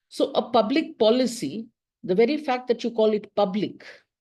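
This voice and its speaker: Against a quiet background, a woman with a dark, mellow tone speaks at a fairly high pitch with ordinary pitch variation. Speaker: professor. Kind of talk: lecture. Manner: fast.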